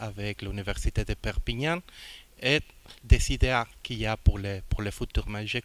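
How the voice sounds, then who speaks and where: This very clean recording with a silent background carries a speaker with a non-native accent. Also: man. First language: not French (speaking French). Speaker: international organization director. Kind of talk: formal speech. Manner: halting.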